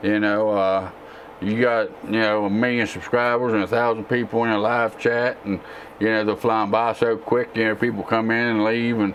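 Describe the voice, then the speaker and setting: Over noticeable background noise, a man with a Texan accent talks in a flat monotone at very even loudness. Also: medium pitch for a man. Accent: southern drawl, Texan-sounding. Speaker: tech YouTuber and gamer. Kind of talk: casual live-stream Q&A. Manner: relaxed, with frequent fillers.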